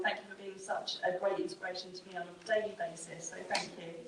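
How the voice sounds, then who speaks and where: A woman talks at a fairly quick pace. Audible room echo and noticeable background noise fill the recording. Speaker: university team manager. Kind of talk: closing remarks at panel event. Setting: event room with audience, microphone. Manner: loud.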